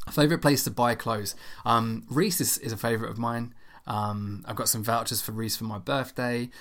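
A man with a medium pitch talks in an unremarkable speaking voice. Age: 30s. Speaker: podcast host. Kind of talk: casual solo Q&A podcast.

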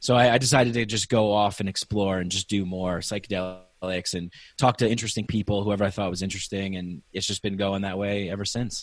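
An ordinary speaking voice at a fairly quick pace, with hardly any pauses. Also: man, fairly low pitch for a man, fairly even intonation, quiet background. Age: 30s. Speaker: podcast host. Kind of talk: casual chat.

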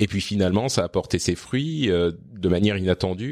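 A man at a fairly low pitch and moderate pace, with ordinary pitch variation, on a very clean recording with a silent background. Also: dry, close sound with no echo. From Lebanon and France (moved around). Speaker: podcaster. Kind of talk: interview conversation. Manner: hesitant with fillers.

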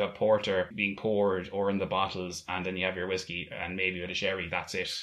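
Someone with an Irish accent talks very fast in a monotone, flat delivery. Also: man. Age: 20s. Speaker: podcast co-host. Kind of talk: casual chat.

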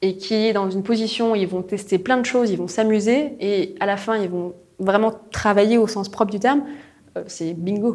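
An ordinary speaking voice from a woman, fairly high in pitch, fairly quick, and fairly even in intonation. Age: 20s. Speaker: corporate innovation manager. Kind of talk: interview.

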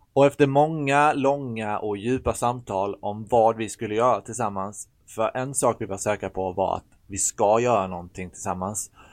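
A man speaks in an ordinary speaking voice at medium pitch and a moderate pace, with ordinary pitch variation and big swings in loudness against a quiet background. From Sweden, Blekinge. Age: 30s. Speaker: podcast co-host. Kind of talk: scripted podcast intro.

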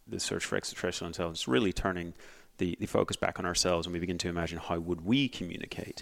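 In a Northern Irish accent, a man with a very deep, low pitch talks at a very fast pace with ordinary pitch variation, on a very clean recording with a silent background. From Northern Ireland. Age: 30s. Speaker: astronomer. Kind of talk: casual interview.

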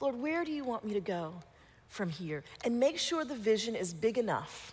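A woman with an American accent speaks at a moderate pace with a warm, playful tone. Her somewhat breathy voice sits fairly high and swings very widely in pitch. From Colorado, US. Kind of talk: guided visualization inside a church talk, leading the audience with eyes closed; church talk to a young adult group. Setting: church with live audience. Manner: warm and playful, with laughs.

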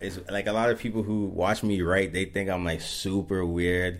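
Fairly slowly and in a flat monotone, a man speaks with a very deep, low pitch. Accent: Toronto. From Mississauga, Ontario. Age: 20s. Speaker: rapper. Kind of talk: interview.

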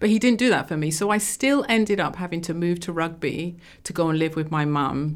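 A woman with an English accent, fairly low in pitch, lively in intonation, at a moderate pace. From England. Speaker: entrepreneur. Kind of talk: interview.

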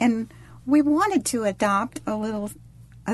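This woman's voice is fairly high and somewhat breathy. Her pitch shifts in an ordinary way. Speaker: adoptive mother. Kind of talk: personal conversation.

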